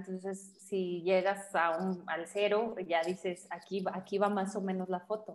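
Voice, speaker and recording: The speaker talks at a fairly slow pace in an unremarkable speaking voice. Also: woman. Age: 40s. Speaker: photographer. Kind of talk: casual interview chat. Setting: studio.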